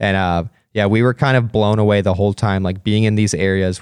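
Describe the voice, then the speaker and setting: Fairly quick in pace, a man speaks in a normal speaking voice with an American accent. His fairly low pitch carries fairly even intonation over a quiet background. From US, Pennsylvania. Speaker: adventurer and photographer. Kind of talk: interview. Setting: studio.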